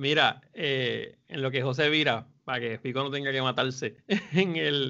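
An unremarkable speaking voice at a fairly slow pace, with hardly any pauses and ordinary pitch variation. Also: man, medium pitch for a man. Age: 40s. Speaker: film podcast panelist, teacher. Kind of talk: casual chat.

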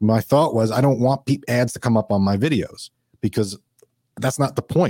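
A man with a New York accent, medium-pitched and dark and mellow in tone, at a fairly quick pace, in a very clean, dry, close recording with no echo and a silent background. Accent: New York accent, noticeable. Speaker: financial advisor. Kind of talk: interview.

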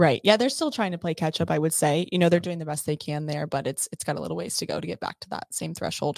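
A woman races along at a very fast pace with hardly any pauses and big swings in loudness, the sound dry and close with no echo. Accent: American. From Texas. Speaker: real estate agent. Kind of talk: casual chat.

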